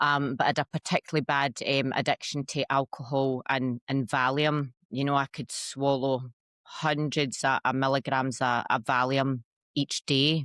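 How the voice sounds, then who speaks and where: A woman with a Scottish accent speaks at a moderate pace with a very deep, low pitch, monotone, flat intonation and very even loudness, in a dry, close sound with no echo. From Scotland. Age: 40s. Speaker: ayahuasca practitioner. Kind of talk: interview testimony. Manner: hesitant, many fillers.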